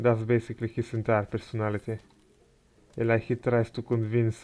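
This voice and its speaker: A soft-spoken man talks at a fairly quick pace and medium pitch, his tone dark and mellow. His intonation is flat and monotone, on a very clean recording with a silent background. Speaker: gaming commentator. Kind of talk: gameplay commentary. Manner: halting.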